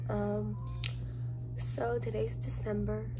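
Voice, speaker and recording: Music plays behind a woman as she talks. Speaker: vlogger. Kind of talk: casual vlog chat. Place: home room. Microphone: phone near.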